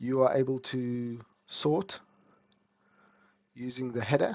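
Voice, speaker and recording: A man speaks at a medium pitch with a dark, mellow tone. His intonation is monotone and flat. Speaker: software developer giving a product demo. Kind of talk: screen-recorded software walkthrough. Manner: casual, hesitant.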